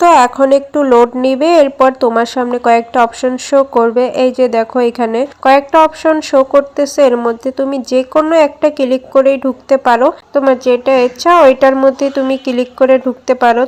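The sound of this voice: With a dry, close sound and no echo, a woman speaks at a fairly quick pace with few pauses, her high pitch showing little movement and her tone slightly mellow.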